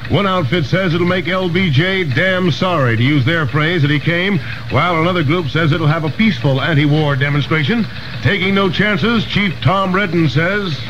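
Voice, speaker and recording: A man with an American accent speaks in a high voice at a moderate pace, his pitch varying in an ordinary way. His loudness stays very even, and background noise is noticeable. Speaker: radio newscaster. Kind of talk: radio newscast reading. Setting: vintage 1960s radio broadcast recording.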